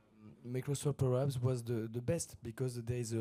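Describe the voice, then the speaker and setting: The voice has a dark, mellow tone, fairly even intonation and a French accent. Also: man. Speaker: conference speaker. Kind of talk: conference Q&A. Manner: halting.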